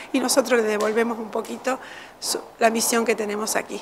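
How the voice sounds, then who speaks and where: A woman speaks over light background noise. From Uruguay. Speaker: children's home director. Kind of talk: interview. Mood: warm, grateful. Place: office. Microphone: studio mic.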